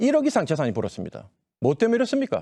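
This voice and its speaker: A man's dark, mellow tone moves through very wide pitch swings, recorded dry and close with no echo. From Daegu, South Korea. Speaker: politician, parliamentary candidate. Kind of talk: campaign speech. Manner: impassioned.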